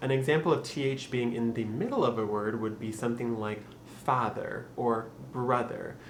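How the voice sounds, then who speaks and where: Man with an American accent, medium pitch, fairly even intonation, and a moderate pace, amid noticeable background noise. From Michigan. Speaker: accent tutorial presenter. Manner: casual, instructional.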